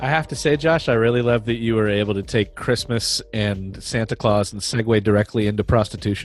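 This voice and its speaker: A man's fairly quick delivery is carried over background music. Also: medium pitch for a man, ordinary pitch variation, hardly any pauses. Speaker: podcast co-host. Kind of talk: casual political discussion. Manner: stuttering.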